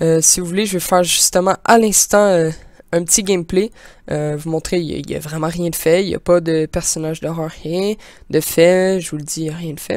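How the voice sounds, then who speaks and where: Speaking at a moderate pace in a Quebec accent, a woman with a fairly low pitch keeps her intonation fairly even on a very clean recording with a silent background. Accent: Québécois French. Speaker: gaming YouTuber, amateur game developer. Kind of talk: tutorial. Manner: halting, many fillers.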